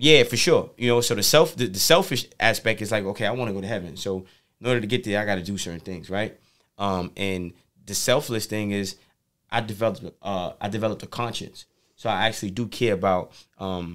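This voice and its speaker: Against a quiet background, a man speaks at a fairly quick pace. His pitch is fairly low with ordinary variation. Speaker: podcast guest. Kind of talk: interview answer. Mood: reflective, calm. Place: studio. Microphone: studio mic.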